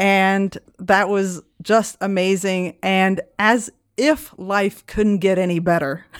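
Speaking at a very slow pace, a woman keeps her loudness very even and her intonation fairly even. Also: medium pitch for a woman. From Belgium. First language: French. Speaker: comedy interview podcaster, returning guest. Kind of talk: casual chat.

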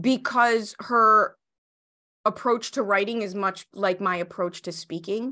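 A woman's medium-pitched voice in a Chicago accent, bright and sharp in tone, at a fairly slow pace. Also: ordinary pitch variation, quiet background. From US Midwest, Chicago. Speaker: business coach and entrepreneur. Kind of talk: interview. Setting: video call. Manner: animated.

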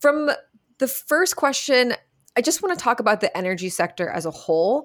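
A woman at a fairly quick pace, her pitch swinging very widely, in a very clean recording over a silent background. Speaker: podcast host. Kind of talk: interview conversation.

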